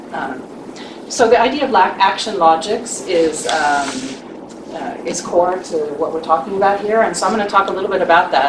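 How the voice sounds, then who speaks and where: Over noticeable background noise and audible room echo, a woman talks in a medium pitch with lively intonation. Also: moderate pace. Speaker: leadership coach. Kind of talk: panel presentation. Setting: live forum with audience. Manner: soft-spoken.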